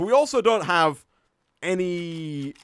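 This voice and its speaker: A man speaks in a high voice with a Yorkshire accent. His pitch swings very widely. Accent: Northern English (Yorkshire). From northern England, North Yorkshire. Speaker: gaming streamer. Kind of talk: live stream gameplay commentary. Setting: live stream with chat. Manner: laid-back.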